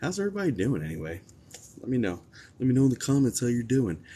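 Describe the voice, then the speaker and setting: A man speaks quietly. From New Jersey, moved around US. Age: 40s. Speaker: psychic medium, livestream host. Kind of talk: casual livestream chat. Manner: quiet, kept low.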